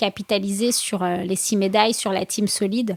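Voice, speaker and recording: A woman's medium-pitched voice with fairly even intonation, dry and close with no echo, on a very clean recording with a silent background. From France, Seine-Saint-Denis. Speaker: boxer and entrepreneur. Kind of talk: interview. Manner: halting.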